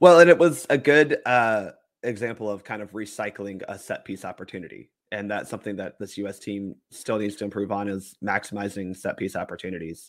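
A man with an unremarkable speaking voice, fairly low-pitched, at a fairly quick pace with lively intonation, on a very clean recording with a silent background. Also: big swings in loudness. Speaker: soccer podcaster. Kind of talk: casual chat.

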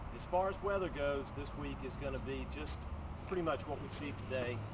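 A man talks at a fairly quick pace. Noticeable background noise is present. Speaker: car dealership weather presenter. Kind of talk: casual outdoor weather report mixed with a sales pitch. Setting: outdoors. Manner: relaxed, friendly, conversational. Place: street. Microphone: phone near.

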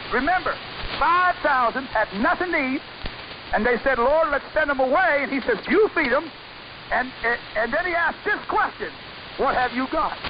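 With an extremely high pitch, a man speaks at a moderate pace with long, frequent pauses over noticeable background noise. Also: ordinary pitch variation. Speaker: radio preacher. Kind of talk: sermon. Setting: shortwave radio broadcast. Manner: animated.

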